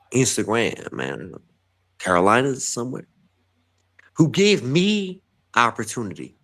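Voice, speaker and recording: A man's animated voice in a New York accent, at a medium pitch with very wide pitch swings, a fairly slow pace and long, frequent pauses, in a very clean recording with a silent background. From New York, Bronx lineage. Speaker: writer and guest on an arts talk show. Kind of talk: casual interview chat. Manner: halting.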